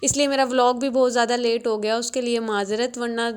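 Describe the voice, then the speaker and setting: Soft-spoken and fairly high-pitched, a woman talks at a moderate pace in a monotone, flat intonation on a very clean recording with a silent background. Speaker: vlogger. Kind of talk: casual vlog narration. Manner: soft, low volume.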